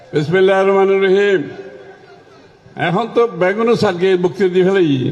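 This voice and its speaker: With a Chittagong accent, a man speaks in a high pitch with fairly even intonation and very even loudness. Noticeable background noise can be heard. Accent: Chittagonian. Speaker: government minister. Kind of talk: political speech.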